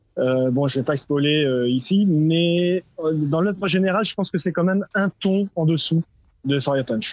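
A man talks at a fairly slow pace in a high-pitched voice. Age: middle-aged. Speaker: listener caller. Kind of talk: casual chat.

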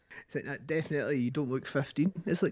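A fairly high-pitched man with a Scottish accent against a quiet background. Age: 20s. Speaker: podcast guest. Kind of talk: casual chat.

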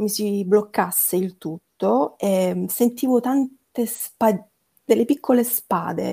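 Very slow speech in a dark, mellow tone with ordinary pitch variation. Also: woman. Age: 30s. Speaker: chronic illness patient sharing her story. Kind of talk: personal testimony in casual interview. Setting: online remote call.

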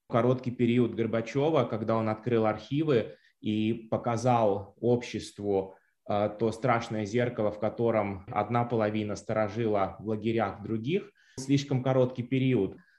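Here is a man with an unremarkable speaking voice, medium in pitch and fairly even in intonation. He goes at a fairly slow pace against a quiet background. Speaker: cultural studies professor. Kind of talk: analytical interview commentary.

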